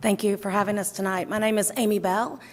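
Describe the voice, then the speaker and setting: With a Southern accent, a woman speaks at medium pitch in a monotone, flat intonation. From US South. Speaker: legislative candidate. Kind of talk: candidate opening statement. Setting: candidates night event.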